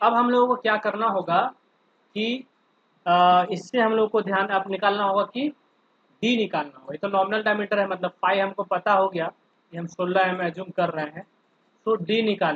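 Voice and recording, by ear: Recorded with a dry, close sound and no echo, a man talks at a moderate pace and high pitch with fairly even intonation.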